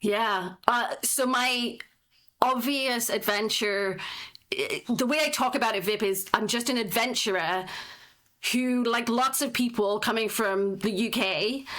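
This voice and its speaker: Speaking at a fairly slow pace with a British accent, a woman has a fairly high pitch and ordinary pitch variation. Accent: British accent, noticeable. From northeast England. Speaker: tech startup founder. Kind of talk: podcast interview. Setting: remote video call recording.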